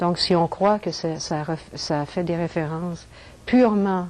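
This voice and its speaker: A woman's fairly low voice, very slow, with ordinary pitch variation. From Quebec, French Canada. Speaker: crop circle researcher. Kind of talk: lecture. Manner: halting.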